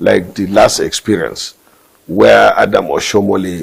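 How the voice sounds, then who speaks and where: This man has a northern Nigerian accent. He talks at a fairly slow pace. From Nigeria, northeast. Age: 60s. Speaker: politician. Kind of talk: interview. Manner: halting.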